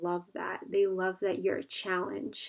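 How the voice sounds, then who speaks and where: Speaking fairly slowly, a woman uses a plain, everyday voice at medium pitch. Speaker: tarot card reader. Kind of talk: pick-a-card tarot reading. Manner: casual, filler-heavy.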